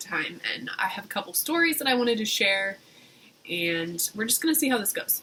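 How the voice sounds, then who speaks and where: A woman with a medium pitch speaks at a fairly quick pace and has very wide pitch swings. Noticeable background noise runs underneath. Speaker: vlogger. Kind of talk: casual chat.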